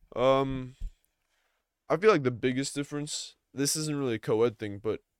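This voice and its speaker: A man with an unremarkable speaking voice at medium pitch talks at a moderate pace with ordinary pitch variation, in a dry, close sound with no echo on a very clean recording with a silent background. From US, Long Island, New York. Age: young. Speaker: podcast host, post-grad student. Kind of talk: casual chat.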